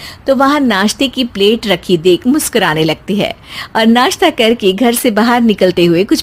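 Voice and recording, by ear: A natural voice reading aloud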